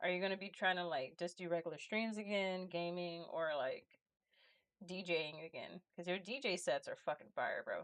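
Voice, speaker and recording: With an American accent, a woman speaks in a normal speaking voice at medium pitch, moderate pace and ordinary pitch variation. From Los Angeles. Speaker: streamer and illustrator. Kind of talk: casual chat. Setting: live stream.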